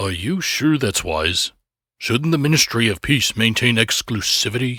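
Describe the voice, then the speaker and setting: This man uses a put-on character voice at medium pitch and a moderate pace. The recording is very clean, with a silent background. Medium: read story. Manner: eager, cold, delighted by cruelty.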